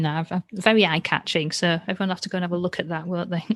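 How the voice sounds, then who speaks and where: A woman with a Yorkshire accent, dry and close-miked with no echo. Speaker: podcast host. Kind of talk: casual chat. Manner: animated.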